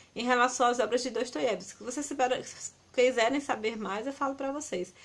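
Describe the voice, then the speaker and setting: Fairly even in intonation, a high-pitched woman speaks at a moderate pace. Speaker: book reviewer. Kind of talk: book review vlog. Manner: halting.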